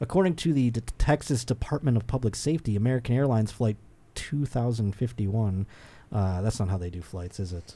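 A man's ordinary speaking voice at medium pitch, with lively intonation and a fairly quick pace, in a very clean recording against a silent background. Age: 30s. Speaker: comedian and podcast host. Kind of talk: casual chat.

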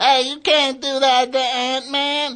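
A put-on character voice, high-pitched and flat in a monotone, at a fairly slow pace

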